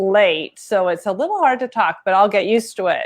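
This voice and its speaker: This woman has a fairly high pitch and ordinary pitch variation, with an ordinary speaking voice. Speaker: sewing shop owner, interviewer. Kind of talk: livestream host talk.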